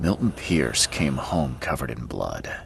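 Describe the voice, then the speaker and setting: Putting on a character voice with a very deep, low pitch, a man speaks at a moderate pace over clear background noise. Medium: video game.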